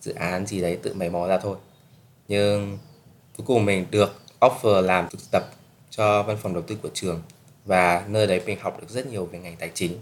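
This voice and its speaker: Using a plain, everyday voice, a man talks at a moderate pace with a fairly low pitch, fairly even intonation, and big swings in loudness. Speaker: podcast host, student abroad. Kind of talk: casual solo podcast talk.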